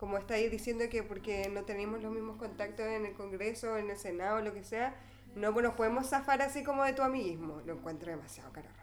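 A woman with a fairly high pitch talks at a very fast pace and ordinary pitch variation, with audible room echo and noticeable background noise. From Chile. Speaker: podcast host. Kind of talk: casual chat.

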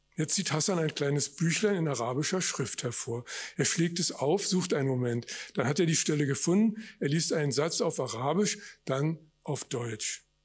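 Lively intonation runs through a man's normal speaking voice. His pitch is fairly high and his pace moderate. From Germany, West Berlin. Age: 60s. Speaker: author. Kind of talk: reading aloud. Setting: stage with audience.

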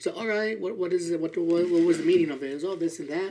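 This man's high-pitched voice shows ordinary pitch variation. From Southern California. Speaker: podcast guest. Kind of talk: casual comedic banter.

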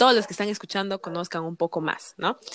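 Dry and close with no echo, a woman's medium-pitched voice has a bright, sharp tone and moves at a very fast pace. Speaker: podcast host. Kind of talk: interview.

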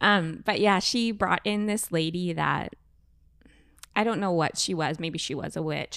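An ordinary speaking voice moves at a moderate pace with ordinary pitch variation, recorded very cleanly against a silent background. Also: woman. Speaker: podcast co-host. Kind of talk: casual chat.

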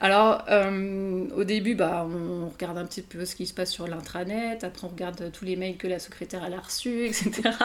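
At a moderate pace with hardly any pauses, a woman speaks in a medium pitch with fairly even intonation. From France. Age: 30s. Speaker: novelist. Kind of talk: interview. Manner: halting, many hesitations.

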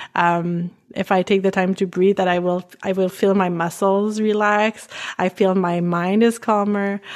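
With a French Canadian accent, the speaker holds a very even loudness and a monotone, flat intonation at a fairly slow pace. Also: woman, medium pitch for a woman. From Canada, French-speaking. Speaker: pelvic floor physical therapist. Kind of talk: casual interview, explaining.

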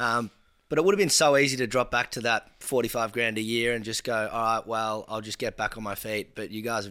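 With an Australian accent, a man talks at a fairly quick pace. His tone is bright and sharp, and his intonation is fairly even. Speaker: podcast co-host. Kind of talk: casual chat.

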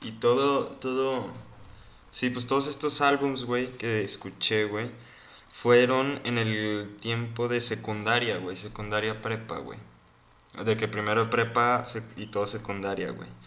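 There's audible room echo as a man speaks at a very slow pace. His medium-pitched voice has a bright, sharp tone and fairly even intonation. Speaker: podcast co-host. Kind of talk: casual chat.

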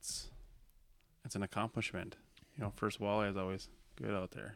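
The man's pitch sits fairly low. He talks at a moderate pace with ordinary pitch variation. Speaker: guest, younger brother of host. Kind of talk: casual banter.

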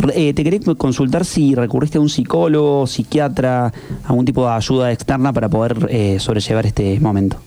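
Over noticeable background noise, a man speaks at a fairly quick pace with medium pitch, ordinary pitch variation and very even loudness. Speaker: radio co-host. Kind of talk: interview.

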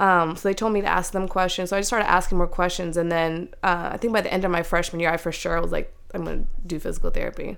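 Talking at a very fast pace, a woman keeps a medium pitch and a monotone, flat intonation. Audible room echo surrounds her voice. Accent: American. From Maryland, US. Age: 30s. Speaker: physical therapist. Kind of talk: casual interview.

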